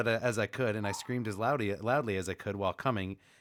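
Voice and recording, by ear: Here someone is reading aloud in a natural voice.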